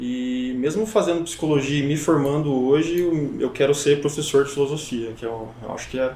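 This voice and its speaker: This man talks at a moderate pace with a fairly high pitch. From Brazil, São Paulo state (Avaré). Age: 20s. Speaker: psychology student. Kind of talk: podcast interview. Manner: hesitant, many fillers.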